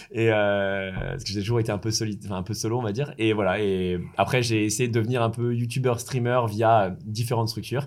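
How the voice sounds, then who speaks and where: A man's unremarkable speaking voice at medium pitch, fairly quick with hardly any pauses and fairly even intonation. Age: 30s. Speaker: former pro gamer and entrepreneur. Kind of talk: interview.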